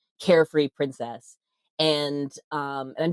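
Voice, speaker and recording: A woman with an American accent, in a dry, close sound with no echo. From US, military family (army brat). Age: 30s. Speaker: podcast host and sex worker rights advocate, former stand-up comic. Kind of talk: casual interview chat, storytelling.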